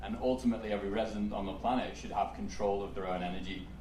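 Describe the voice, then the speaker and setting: A man with an English accent speaks very fast at a fairly low pitch with lively intonation, amid noticeable background noise and audible room echo. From England. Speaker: startup founder. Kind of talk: panel discussion.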